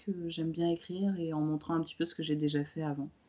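A woman speaking at a moderate pace in a monotone, flat intonation. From France. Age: 30s. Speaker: former lawyer turned photographer and web writer. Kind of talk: casual interview. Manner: hesitant, many fillers.

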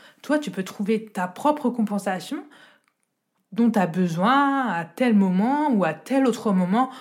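The voice is somewhat breathy, with lively intonation at a very slow pace. The recording is very clean, with a silent background. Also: woman, fairly high pitch for a woman. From France, rural village. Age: 30s. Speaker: deaf accessibility advisor. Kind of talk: testimony. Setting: home recording.

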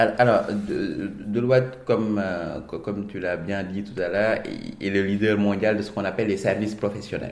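Fairly low-pitched male voice at a fairly slow pace, with fairly even intonation and audible room echo. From Senegal, Dakar. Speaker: management consultant. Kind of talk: interview. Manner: halting, frequent word repetitions.

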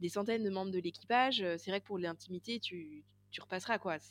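A woman talks at a moderate pace, medium in pitch, with ordinary pitch variation. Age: 40s. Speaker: podcast co-host. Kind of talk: casual chat. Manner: halting.

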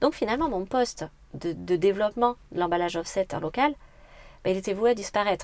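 Speaking at a fairly quick pace, a woman with a medium pitch uses lively intonation broken by long, frequent pauses. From France, Corrèze (Brive area). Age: 30s. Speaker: entrepreneur. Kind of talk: interview. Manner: energetic.

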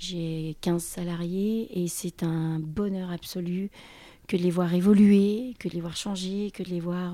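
Very slow and fairly even in intonation, a woman speaks at a medium pitch with a dark, mellow tone in a very clean recording with a silent background. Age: 50s. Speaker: bar owner. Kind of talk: interview.

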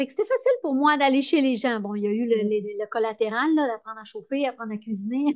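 In a Quebec accent, a woman speaks very fast and high-pitched with hardly any pauses and ordinary pitch variation. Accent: Québécois French. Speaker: entrepreneur. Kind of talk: interview.

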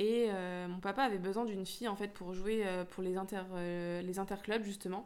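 A woman at medium pitch, moderate pace, hardly any pauses, monotone and flat in intonation. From France, Lyon area (Rhône-Alpes). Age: 20s. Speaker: professional squash player. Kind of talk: interview.

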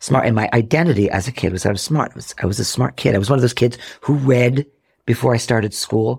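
Somewhat breathy, a man speaks at a very fast pace in a medium pitch with ordinary pitch variation. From Rhode Island, US. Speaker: actor and comedian. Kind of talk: casual interview, personal storytelling. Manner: animated.

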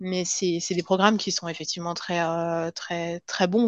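A woman with a fairly low pitch at a fairly slow pace, against a quiet background. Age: 30s. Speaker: cardiac surgeon turned pharma industry worker. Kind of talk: interview testimony. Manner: halting, frequent repetitions.

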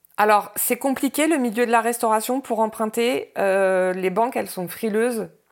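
The recording is very clean, with a silent background. A woman with a fairly high pitch speaks at a moderate pace, with ordinary pitch variation and hardly any pauses. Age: 40s. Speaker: restaurant owner. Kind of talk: interview testimony. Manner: halting, many hesitations.

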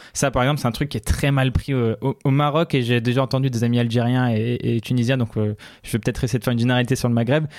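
Speaking very fast, this man keeps a medium pitch and fairly even intonation. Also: very clean recording, silent background. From Morocco. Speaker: tech journalist. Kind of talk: casual interview.

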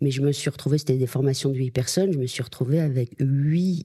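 A woman speaks at a very deep, low pitch and a moderate pace, with ordinary pitch variation. Her tone is dark and mellow, and somewhat breathy. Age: 50s. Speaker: media agency executive. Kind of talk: interview. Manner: hesitant, many fillers.

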